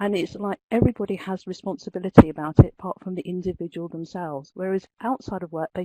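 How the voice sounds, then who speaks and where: At a fairly quick pace, a woman speaks at a medium pitch with a dark, mellow tone, the sound dry and close with no echo. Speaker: webinar participant, learning professional. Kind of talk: webinar discussion. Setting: online webinar from an open plan office. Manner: loud.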